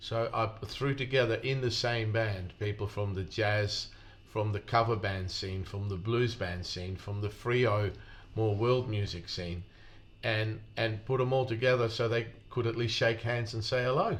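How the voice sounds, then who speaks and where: A man's somewhat breathy, medium-pitched voice, fairly slow and fairly even in intonation, with audible room echo. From Netherlands. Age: 60s. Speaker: sound engineer. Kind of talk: casual interview. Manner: hesitant, repeats words.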